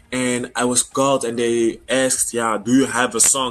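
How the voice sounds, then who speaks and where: A man at medium pitch with a French accent. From Congo. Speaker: singer. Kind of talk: interview. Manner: halting.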